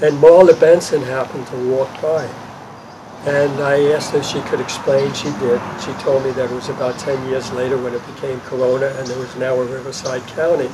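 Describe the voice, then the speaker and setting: A man speaking at a fairly quick pace in a monotone, flat delivery, with audible room echo and noticeable background noise. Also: medium pitch for a man. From New York City, Brooklyn. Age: 80s+. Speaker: park volunteer. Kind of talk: interview. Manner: hesitant, many fillers.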